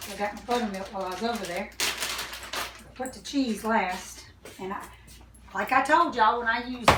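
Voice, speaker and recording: A woman with a Southern US accent talks at a fairly quick pace in a fairly high pitch with ordinary pitch variation. There is noticeable background noise and audible room echo. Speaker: home cooking video host. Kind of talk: cooking tutorial. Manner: soft-spoken; casual, chatty. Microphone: too quiet, told to talk louder.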